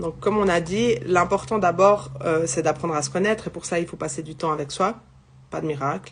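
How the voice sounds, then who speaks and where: At a fairly quick pace, a woman talks in a fairly low voice with vocal fry. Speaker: psychic medium. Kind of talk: live spiritual guidance. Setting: livestream. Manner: loud; halting.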